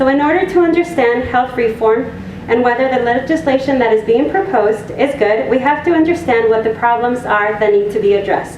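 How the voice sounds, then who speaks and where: Over noticeable background noise and audible room echo, a high-pitched woman talks at a fairly quick pace with lively intonation and very even loudness. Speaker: health advocacy hotline coordinator. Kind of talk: public presentation. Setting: community meeting room with audience. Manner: soft-spoken.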